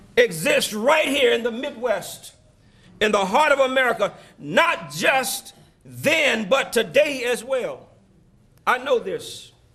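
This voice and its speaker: A man in an Alabama accent speaks at an extremely high pitch with lively intonation. His voice is raised and projected, at a very slow pace. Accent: Southern US (Alabama). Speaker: keynote speaker. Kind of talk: speech. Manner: preacherly, call-and-response.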